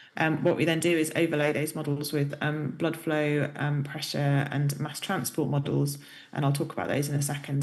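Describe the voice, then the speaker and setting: A woman's very deep, low voice with a British accent and monotone, flat intonation, in audible room echo. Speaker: professor. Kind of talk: lecture. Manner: hesitant, many fillers.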